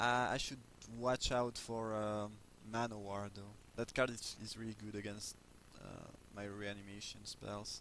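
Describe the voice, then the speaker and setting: Speaking with a non-native accent, a man delivers fairly low, monotone lines at a fairly slow pace, with big swings in loudness and long, frequent pauses. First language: not English. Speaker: video game commentator. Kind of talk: gameplay commentary. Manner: halting, many fillers. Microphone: low volume, poor mic.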